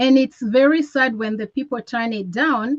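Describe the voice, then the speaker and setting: In an East African accent, a woman speaks at a high pitch. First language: Swahili. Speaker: network marketing presenter. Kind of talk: motivational sales talk.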